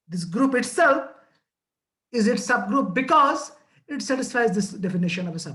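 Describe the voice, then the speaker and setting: Long pauses come often, though the speech itself moves at a moderate speed. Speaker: physics or mathematics teacher. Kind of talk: lecture. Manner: halting, many fillers.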